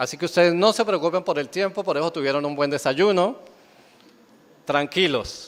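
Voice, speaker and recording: Speaking at a moderate pace with a high pitch, the man leaves long, frequent pauses. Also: ordinary pitch variation. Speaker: pastor. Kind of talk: sermon.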